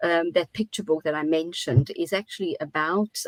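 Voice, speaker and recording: A woman in a Portuguese accent, fairly low pitch, moderate pace, dry, close sound with no echo. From South Africa, Portuguese family. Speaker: teacher educator, conference plenary speaker. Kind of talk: interview.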